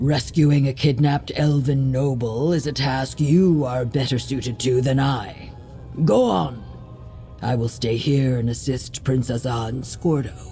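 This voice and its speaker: Over clear background noise, a put-on character voice speaks at a moderate pace with a low-to-middle pitch. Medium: machinima. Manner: measured, formal.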